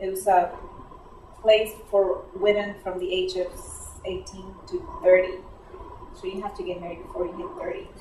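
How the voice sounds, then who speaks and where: A woman with a Spanish accent speaks at medium pitch and a moderate pace, with long, frequent pauses and big swings in loudness. Noticeable background noise and audible room echo fill the recording. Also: fairly even intonation. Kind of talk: casual interview.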